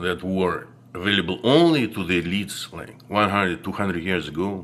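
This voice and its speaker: Speech comes at a moderate pace. It carries a non-native accent. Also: man. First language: not English. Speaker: video blogger. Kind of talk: monologue to camera. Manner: halting, many fillers.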